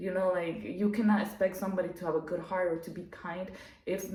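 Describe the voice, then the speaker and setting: Against noticeable background noise and audible room echo, a woman with a non-native accent speaks fairly quickly at a medium pitch, her intonation fairly even. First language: not English. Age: adult. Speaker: YouTuber. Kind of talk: casual monologue to camera. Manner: talkative, many fillers.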